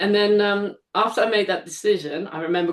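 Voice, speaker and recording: At a moderate pace, a woman speaks with a slight Dutch accent. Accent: faint Dutch. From Netherlands. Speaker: live event artist. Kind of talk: casual chat.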